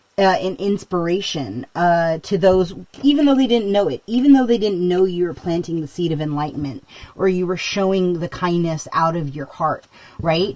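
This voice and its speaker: A woman with a fairly low pitch is heard over noticeable background noise. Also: lively intonation, moderate pace. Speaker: tarot reader. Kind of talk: tarot reading. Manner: loud; halting, many fillers.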